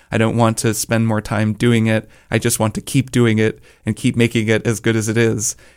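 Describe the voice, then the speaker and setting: The recording is very clean with a silent background, and the sound is dry and close with no echo. A man speaks at a medium pitch in a flat monotone. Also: fairly quick pace. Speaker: podcaster and musician. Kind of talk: casual interview. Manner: smiling, warm delivery.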